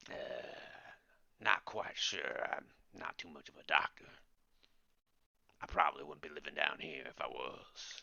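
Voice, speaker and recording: This man puts on a character voice, raspy and in a strong Cockney accent. He moves at a moderate pace with long, frequent pauses. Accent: deep Cockney. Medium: actual play. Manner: gruff, dismissive.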